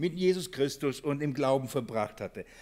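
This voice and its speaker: On a very clean recording with a silent background, a man with a fairly high pitch speaks at a fairly slow pace with lively intonation. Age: 40s. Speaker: church elder and preacher. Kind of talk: bible study sermon. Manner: halting, many fillers and repetitions; earnest.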